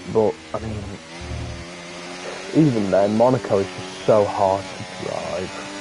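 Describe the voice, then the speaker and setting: Amid noticeable background noise, a man speaks at a very slow pace and fairly low pitch, with long, frequent pauses and big swings in loudness. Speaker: gaming streamer. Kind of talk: live gameplay commentary. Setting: livestream. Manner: casual, animated.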